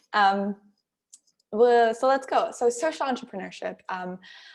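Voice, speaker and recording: The speaker has a German accent and a moderate pace. Pitch variation is ordinary. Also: woman. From Germany. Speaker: workshop speaker, social enterprise founder. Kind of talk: workshop talk.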